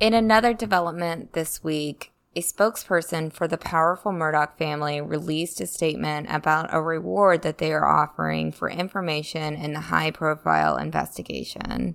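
A woman speaks at a moderate pace with few pauses, using a low pitch, ordinary pitch variation, vocal fry and a fairly bright tone.

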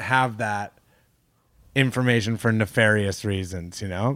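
On a very clean recording with a silent background, a man with a Canadian accent and a plain, everyday voice talks at a moderate pace using lively intonation. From Canada. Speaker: comedian. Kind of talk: casual chat.

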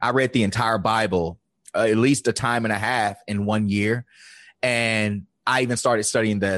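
An ordinary speaking voice from a man with an American accent, fairly low in pitch at a moderate pace, against a quiet background. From Virginia, US South. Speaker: life coach. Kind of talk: interview.

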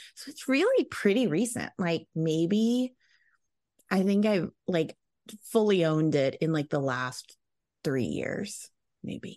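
In an American accent with a dark, mellow tone, the speaker moves at a very slow pace through long, frequent pauses and very wide pitch swings. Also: woman, medium pitch for a woman. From US South. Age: 40s. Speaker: parenting specialist and author. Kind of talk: casual interview chat.

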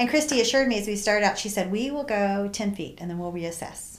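A woman's fairly high voice at a very fast pace, with ordinary pitch variation. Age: 60s. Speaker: hiker and friend of the host. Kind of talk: testimony.

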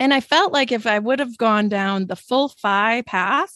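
A woman's fairly high, plain, everyday voice with an American accent and lively intonation, in a dry, close sound with no echo and a quiet background. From Wisconsin, US Midwest. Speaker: podcast host and author. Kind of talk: casual chat.

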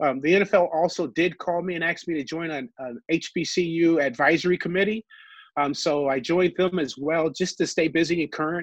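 Moderate pace and fairly even intonation in an American accent, over a quiet background. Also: man, high pitch for a man. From Ohio. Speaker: former football executive and player. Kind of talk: interview.

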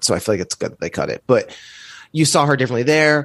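A man at a very fast pace with ordinary pitch variation, dry and close with no echo over a quiet background. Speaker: comedian. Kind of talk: casual chat. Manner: fast, manic talker.

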